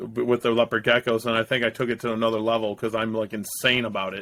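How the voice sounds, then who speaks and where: Bright and sharp in tone, this man's medium-pitched voice carries an American accent. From US Midwest, Ohio (Toledo area). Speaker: reptile breeder. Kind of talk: casual chat. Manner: animated.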